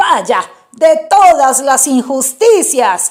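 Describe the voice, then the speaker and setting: A put-on character voice unfolds at a very slow pace. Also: woman, high pitch for a woman. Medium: read story.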